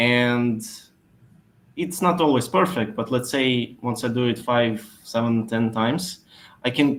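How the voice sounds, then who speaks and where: This man's voice has a medium pitch and ordinary pitch variation. He takes a fairly slow pace. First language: not English. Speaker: SEO expert. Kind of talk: webinar Q&A answer. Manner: hesitant, many fillers.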